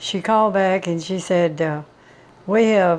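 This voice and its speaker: A woman at a medium pitch with a Southern US accent. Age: 90s. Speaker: home cook. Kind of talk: cooking tutorial; personal anecdote. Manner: casual, homespun.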